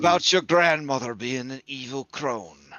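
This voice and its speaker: Using a raspy put-on character voice, a man speaks at medium pitch and a moderate pace. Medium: actual play. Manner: folksy, fatherly.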